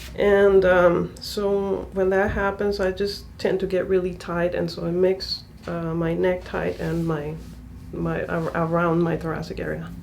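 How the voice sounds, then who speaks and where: A woman's fairly slow speech carries audible room echo. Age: 30s. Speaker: patient. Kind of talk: casual interview. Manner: halting, many fillers.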